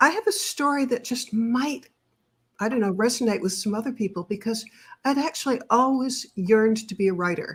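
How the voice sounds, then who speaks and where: Recorded very cleanly against a silent background, a woman with a fairly high pitch sounds somewhat breathy as she talks at a moderate pace with ordinary pitch variation. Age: 70s. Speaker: author. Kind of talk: interview.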